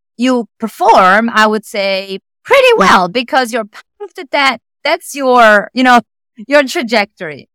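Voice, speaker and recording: In an Italian accent, a woman talks at a fairly slow pace with a high pitch, a bright, sharp tone and lively intonation, the sound dry and close with no echo. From Italy. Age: 40s. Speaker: tech executive and leadership speaker. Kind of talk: podcast interview. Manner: animated.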